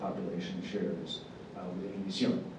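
A man talks over noticeable background noise. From Dominican Republic. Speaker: media executive. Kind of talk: panel discussion.

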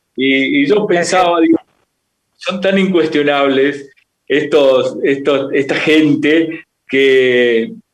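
A man speaks at a fairly high pitch with ordinary pitch variation. He has an unremarkable speaking voice. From Argentina, Tucumán. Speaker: radio journalist. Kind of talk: interview questions. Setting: video call.

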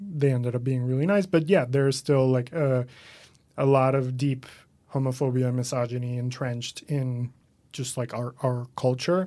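A man's medium-pitched voice carries a dark, mellow tone and fairly even intonation. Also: moderate pace, very clean recording, silent background. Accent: Spanish. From Venezuela. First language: Spanish. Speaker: comedian and writer. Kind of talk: casual interview chat.

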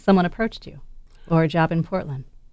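This is a woman with an unremarkable speaking voice and an American accent. Her pitch is fairly low with ordinary variation, on a very clean recording with a silent background. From Wisconsin, US. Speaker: podcast interviewer. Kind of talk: casual interview.

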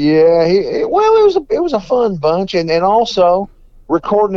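With a Texan accent, a man talks at a moderate pace, his pitch swinging very widely. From Texas, Fort Worth. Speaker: blues guitarist. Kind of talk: interview.

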